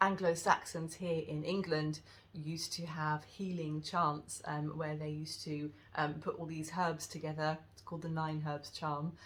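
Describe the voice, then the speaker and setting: A woman speaks with a husky, very deep, low pitch and monotone, flat intonation. Her loudness swings widely. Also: moderate pace. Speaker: wellness teacher. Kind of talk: tutorial. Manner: hesitant, many fillers.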